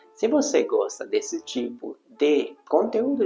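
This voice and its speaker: Over music in the background, a man with a non-native accent speaks at a fairly slow pace. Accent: foreign accent in Portuguese. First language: Hungarian (speaking Portuguese). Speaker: YouTuber on language learning. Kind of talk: vlog monologue.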